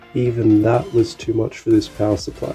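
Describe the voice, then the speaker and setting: Faint music plays behind a man. His pitch is fairly low and his pace fairly slow. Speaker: electronics hobbyist. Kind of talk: casual electronics tutorial narration. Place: home room. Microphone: phone near.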